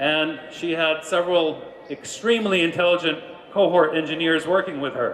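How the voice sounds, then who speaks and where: Noticeable background noise surrounds a man with a New York accent. He speaks in a fairly high pitch with fairly even intonation. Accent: New York American. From US, New York. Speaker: business executive. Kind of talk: keynote speech.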